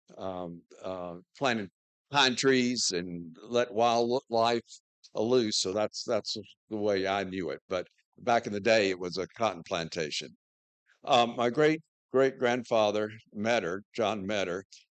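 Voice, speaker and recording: With a Southern US accent, a man talks at a very slow pace in a fairly low voice with ordinary pitch variation. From US South, western North Carolina. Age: 70s. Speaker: church member telling his life story. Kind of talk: personal talk to congregation. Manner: halting, many fillers.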